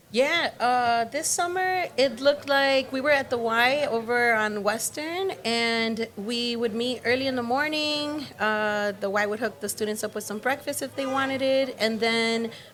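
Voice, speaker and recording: Hardly pausing, a woman speaks at a fairly slow pace and a high pitch with ordinary variation. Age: 20s. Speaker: graffiti art instructor. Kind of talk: interview.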